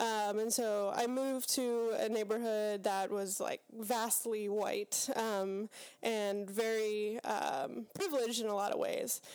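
At a very slow pace with hardly any pauses, a woman speaks at a fairly high pitch, with fairly even intonation and very even loudness. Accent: American. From Pittsburgh, western Pennsylvania. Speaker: seminary student. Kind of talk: casual interview. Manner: thoughtful, many fillers.

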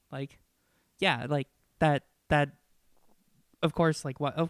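The speaker talks at a fairly quick pace with a slight Minnesotan accent, on a very clean recording with a silent background. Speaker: podcast co-host. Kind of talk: casual chat.

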